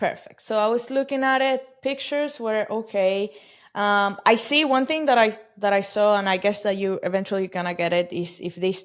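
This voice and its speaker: A woman speaks with a Spanish accent and ordinary pitch variation. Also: medium pitch for a woman, moderate pace. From Venezuela. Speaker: e-commerce company CEO. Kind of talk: podcast interview.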